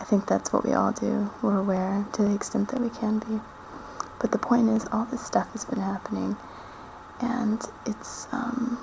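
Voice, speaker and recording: Noticeable background noise under a moderate pace. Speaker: video blogger. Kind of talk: casual personal monologue. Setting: at parents' house at night. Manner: soft-spoken, talking quietly; halting, with many fillers. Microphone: quiet recording.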